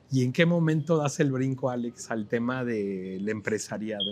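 A man talks in a plain, everyday voice at a medium pitch. His pace is fairly slow, with ordinary pitch variation. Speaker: TV business show host. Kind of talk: TV interview show. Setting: on location in a restaurant plaza.

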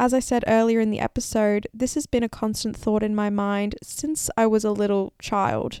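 A woman with an unremarkable speaking voice talks at a moderate pace and fairly high pitch. Her intonation is fairly even, and the sound is dry and close with no echo. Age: 20s. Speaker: podcast host. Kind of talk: solo podcast monologue.

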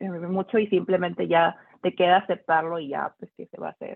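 A woman talks at a moderate pace, her pitch sitting in the medium range. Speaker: doctoral student. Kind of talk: panel discussion. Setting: video call.

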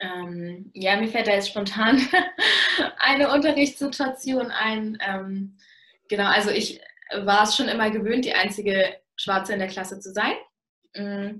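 At a very slow pace, a woman with a medium pitch speaks with ordinary pitch variation and big swings in loudness. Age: young. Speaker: university student. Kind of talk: interview talk.

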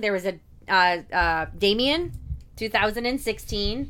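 Here is a woman with an ordinary speaking voice. Her pitch variation is ordinary. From Indiana, US Midwest. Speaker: horror podcast co-host. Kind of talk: casual chat. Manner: laughs often.

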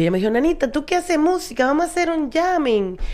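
In a Dominican accent, a woman speaks in an animated tone with very wide pitch swings. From Dominican Republic, Santo Domingo. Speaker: stand-up comedian and advertising worker. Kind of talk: casual chat.

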